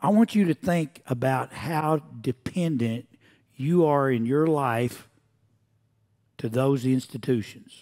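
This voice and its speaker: Against a quiet background, a man with a fairly high pitch and a dark, mellow tone speaks at a very slow pace with ordinary pitch variation and long, frequent pauses. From Oklahoma. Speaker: preacher. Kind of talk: sermon. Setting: church. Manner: animated. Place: church.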